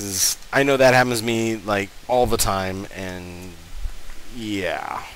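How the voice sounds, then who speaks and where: A man speaks very slowly at a fairly low pitch with ordinary pitch variation, over noticeable background noise and audible room echo. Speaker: gaming YouTuber. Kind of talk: let's play commentary. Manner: halting, many fillers.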